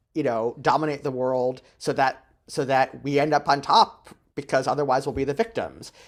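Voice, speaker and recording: Speaking at a moderate pace, a man uses a fairly high pitch with a General American accent. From San Francisco, US West Coast. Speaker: Wiccan priest and spirituality teacher. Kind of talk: talk to a small group. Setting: hybrid event, Zoom and private residence. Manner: hesitant, many fillers.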